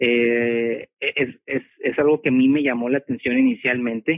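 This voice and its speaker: A man speaks with monotone, flat intonation. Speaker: homeschooling parent. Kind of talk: casual interview. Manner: halting, many repetitions.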